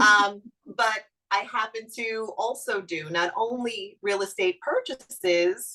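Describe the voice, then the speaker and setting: The speaker has a Brooklyn accent. The tone is bright and sharp. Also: woman. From Brooklyn, New York. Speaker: real estate lawyer. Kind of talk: webinar presentation.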